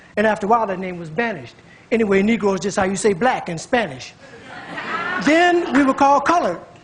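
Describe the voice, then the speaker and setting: A man with an American accent and a high pitch speaks at a very fast pace, with very wide pitch swings. Long, frequent pauses break up his speech over noticeable background noise. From United States. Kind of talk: spoken word poetry performance.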